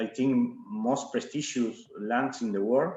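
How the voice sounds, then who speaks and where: Speaking with an Argentine accent, a man keeps a medium pitch and fairly even intonation. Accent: Argentinian accent in English. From Argentina. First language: Spanish. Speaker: winemaker. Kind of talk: wine tasting presentation. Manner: halting, many fillers and repetitions.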